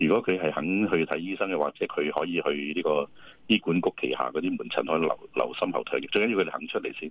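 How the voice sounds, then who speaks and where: The speech runs at a very fast pace, with a dry sound with no echo and a quiet background. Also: man. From Hong Kong. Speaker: respiratory medicine professor. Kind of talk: radio interview; interview answer. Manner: halting. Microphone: phone line.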